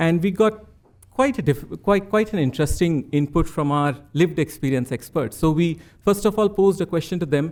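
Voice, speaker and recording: A man with an Indian accent speaks at a high pitch. The recording is very clean, with a silent background. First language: Hindi. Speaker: psychiatrist presenting research. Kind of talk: conference presentation. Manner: halting, many fillers.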